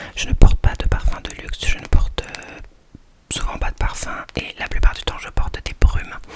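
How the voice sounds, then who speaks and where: Whispered speech from a woman at a moderate pace, with noticeable background noise behind it. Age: 20s. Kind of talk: ASMR whispered talk to camera.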